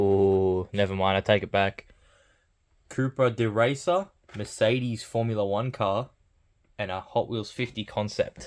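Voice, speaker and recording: Over a very clean recording with a silent background, a man talks at a fairly low pitch and a fairly slow pace, his intonation fairly even, leaving long, frequent pauses. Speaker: toy collector unboxing channel host. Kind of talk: unboxing commentary.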